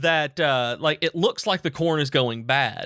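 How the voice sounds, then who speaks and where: A fairly high-pitched man with a Southern US accent, animated and bright, sharp in tone, ordinary pitch variation, on a very clean recording with a silent background. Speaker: podcast co-host. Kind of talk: casual chat.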